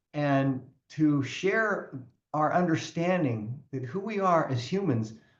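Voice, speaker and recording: Somewhat breathy, a man speaks with lively intonation. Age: 60s. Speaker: personal growth coach and author. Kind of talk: podcast interview.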